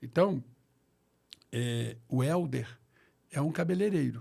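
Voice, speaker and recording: A man's voice comes across as somewhat breathy with a dark, mellow tone. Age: 60s. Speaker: pastor. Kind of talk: interview.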